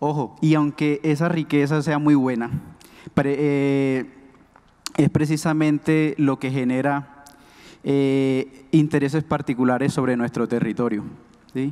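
A man with a dark, mellow tone and fairly high pitch speaks at a very slow pace in a monotone, flat intonation, leaving long, frequent pauses against a quiet background. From Colombia, Córdoba (Alto Sinú, Embera Katío); Colombia. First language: Embera (speaking Spanish). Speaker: speaker. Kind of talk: public talk. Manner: halting. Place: stage. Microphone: podium.

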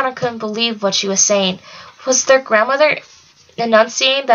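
The passage is plain reading aloud, and the pitch varies in an ordinary way.

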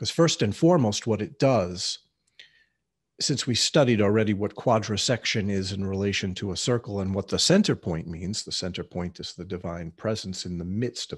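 Set against a quiet background, a plain, everyday voice talks at a moderate pace with ordinary pitch variation. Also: man, fairly low pitch for a man. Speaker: teacher of mysticism. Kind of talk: lecture. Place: home room. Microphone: webcam.

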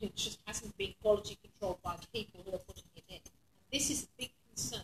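A woman's medium-pitched voice with a husky, rough edge, a fast pace and ordinary pitch variation.

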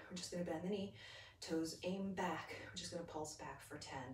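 Light background noise sits under audible echo from the room. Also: woman. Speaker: fitness instructor. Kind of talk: guided yoga and Pilates class, calm step-by-step cueing with breath counts. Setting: home video workout class on a mat. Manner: rhythmic, steady, encouraging, counting down reps; friendly, upbeat, casual. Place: home room. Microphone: camera far.

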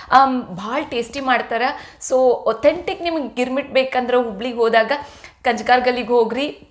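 A woman's voice, high in pitch. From North Karnataka, Hubballi; Karnataka. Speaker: cooking vlogger. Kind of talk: cooking tutorial vlog. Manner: chatty, talkative. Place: kitchen. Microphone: camera far.

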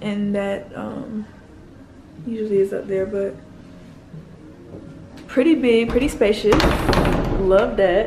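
A woman talks slowly at a medium pitch, her tone dark and mellow and her intonation fairly even. Long, frequent pauses fall between phrases, and room echo is audible.

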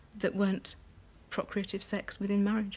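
The voice is somewhat breathy. A woman talks at a fairly quick pace. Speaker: interviewee. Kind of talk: interview answer. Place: home room.

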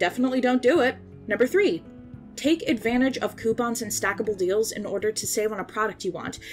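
Music plays in the background as a woman talks at a fairly quick pace. Her fairly high pitch shows ordinary variation. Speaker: self-taught artist and animator. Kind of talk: casual commentary over speedpaint. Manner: casual, joking.

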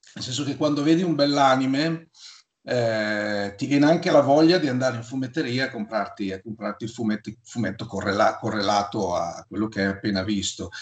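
There is audible room echo over a quiet background. A man speaks at a moderate pace with lively intonation. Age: 50s. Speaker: YouTuber talking about comics. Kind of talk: casual chat. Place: home room. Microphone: video call.

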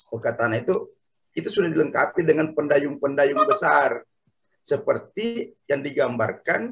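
Lively intonation marks this man's speech. He keeps a fairly slow pace. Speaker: participant; speaker. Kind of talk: online panel discussion. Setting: video call. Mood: thoughtful, explanatory. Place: home room. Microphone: earbuds.

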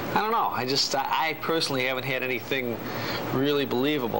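A man talks while noticeable noise carries on in the background. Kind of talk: interview answer. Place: cafe. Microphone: lapel.

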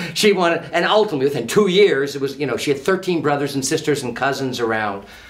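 At a fairly quick pace, a man talks in an American accent. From San Francisco, California. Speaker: history professor. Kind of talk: interview. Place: studio.

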